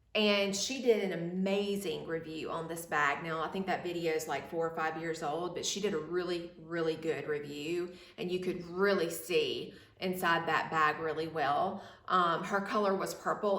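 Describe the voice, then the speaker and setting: Fairly even intonation amid noticeable background noise and audible room echo. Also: woman. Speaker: fashion vlogger. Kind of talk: product review. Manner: casual, hesitant with fillers.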